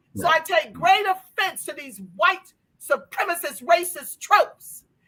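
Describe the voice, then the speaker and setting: A woman speaks in a raised, projected voice at an extremely high pitch. Her pace is fairly slow and her tone bright and sharp. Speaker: reparations advocate and channel host. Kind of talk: passionate political commentary / livestream talk.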